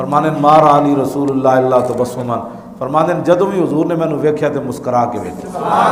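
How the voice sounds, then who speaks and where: A man speaks in a passionate tone, his pitch fairly high. His pitch varies in an ordinary way over noticeable background noise. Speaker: Islamic preacher. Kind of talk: religious sermon (bayan) in Urdu and Punjabi, delivered to a live audience. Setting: live gathering, audience responds aloud. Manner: passionate, oratorical, with call-and-response from listeners.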